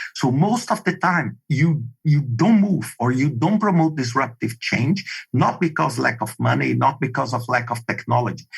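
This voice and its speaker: A man with a Brazilian Portuguese accent speaks at a moderate pace and medium pitch with vocal fry, lively intonation and hardly any pauses. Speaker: project management expert. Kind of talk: podcast interview. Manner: animated.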